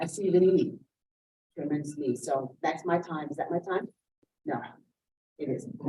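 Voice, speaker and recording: A woman's somewhat breathy, fairly low voice in a dark, mellow tone, with long, frequent pauses. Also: ordinary pitch variation, moderate pace. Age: 60s. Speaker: community volunteer organizer. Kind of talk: public comment at town meeting. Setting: town board meeting.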